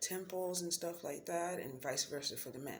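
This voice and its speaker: A woman speaks with a very deep, low pitch and lively intonation. Noticeable background noise and audible room echo accompany her. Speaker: spiritual vlogger. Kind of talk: casual vlog talk. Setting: at home at night. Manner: halting, many fillers.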